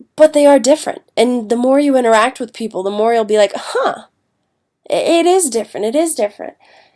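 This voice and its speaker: On a very clean recording with a silent background, a woman with a high pitch and a dark, mellow tone talks at a fairly quick pace with lively intonation. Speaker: English language arts teacher. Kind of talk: classroom lecture. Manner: casual, talkative with brief accent imitations.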